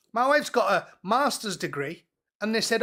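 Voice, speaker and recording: Projecting a raised voice, a man speaks with a high pitch and a bright, sharp tone. His intonation is lively and his pace moderate. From northeast England. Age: 40s. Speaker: co-host commentator. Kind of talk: casual chat. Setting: live stream.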